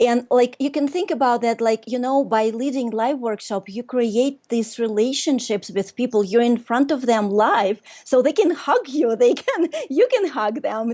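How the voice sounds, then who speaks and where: Over noticeable background noise, a woman with a Russian accent and a high pitch speaks at a moderate pace. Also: ordinary pitch variation, hardly any pauses. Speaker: workshop leader and business coach. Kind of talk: casual interview chat.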